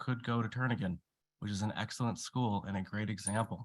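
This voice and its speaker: A man speaks at a fairly quick pace in a medium pitch with fairly even intonation. The recording is very clean with a silent background and a dry, close sound with no echo. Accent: Alaskan. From Alaska, Anchorage. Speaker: public commenter. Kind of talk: public testimony. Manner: halting.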